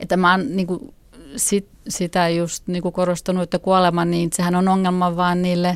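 A woman speaks at a moderate pace in a normal speaking voice, pitched fairly low. The recording is very clean, with a silent background. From Finland. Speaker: freethinker parent. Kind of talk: interview.

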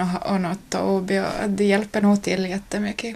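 A woman at a medium pitch and moderate pace, with an Ostrobothnian accent. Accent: Ostrobothnian Finland-Swedish. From Ostrobothnia, Finland (Nykarleby). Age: 20s. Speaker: young mother on parental leave. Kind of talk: interview.

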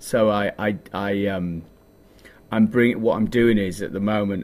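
A man speaks with a Yorkshire accent. His pitch is fairly low. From northern England, Yorkshire (Leeds area). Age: 40s. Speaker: DJ and music producer. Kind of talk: interview.

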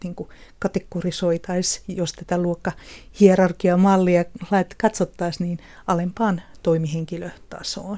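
A woman's fairly low voice, dark and mellow in tone, stays monotone and flat over a quiet background. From southeastern Finland, Kotka. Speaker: social scientist and author. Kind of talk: radio panel discussion.

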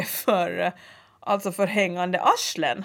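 At a fairly slow pace, a woman with a normal speaking voice talks at a medium pitch with fairly even intonation. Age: 40s. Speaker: podcast co-host. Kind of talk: casual chat. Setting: studio.

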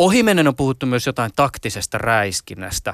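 A man with a plain, everyday voice speaks at a moderate pace and a medium pitch, with lively intonation. The recording is very clean and dry, close and without echo, against a silent background. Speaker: radio host. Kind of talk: interview; scripted narration.

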